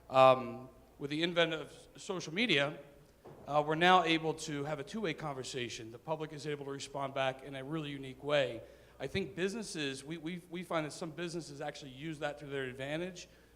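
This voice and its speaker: Fairly quick speech from a man, fairly high in pitch, with ordinary pitch variation and big swings in loudness. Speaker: newspaper editor. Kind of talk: panel discussion.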